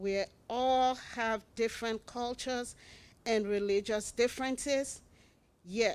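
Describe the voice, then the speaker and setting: With an African accent, the speaker goes at a very slow pace with ordinary pitch variation. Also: woman. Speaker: public commenter at school board meeting. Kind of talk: public comment speech. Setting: school board meeting.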